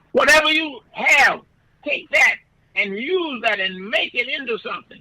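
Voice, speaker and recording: A man speaks in a raised, projected voice at a fairly slow pace, his intonation lively. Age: 90s. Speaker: pastor. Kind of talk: radio interview. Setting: radio studio. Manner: halting, repeats words.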